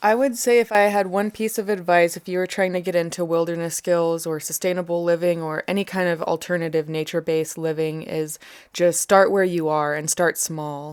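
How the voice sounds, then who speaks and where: A woman with an American accent and a plain, everyday voice speaks at a fairly low pitch with fairly even intonation, at a fairly quick pace with hardly any pauses. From USA. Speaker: bushcraft and wilderness instructor. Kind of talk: interview.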